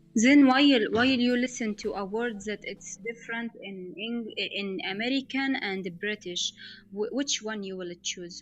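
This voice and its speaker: A somewhat breathy woman speaks with an Egyptian accent at a fairly high pitch, with ordinary pitch variation. Her pace is fairly slow, and her loudness swings widely. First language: Arabic. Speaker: English learner. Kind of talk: casual chat. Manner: halting.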